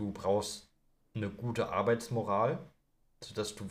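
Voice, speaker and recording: This voice is somewhat breathy, and its pitch varies in an ordinary way. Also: man. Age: 20s. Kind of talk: casual chat.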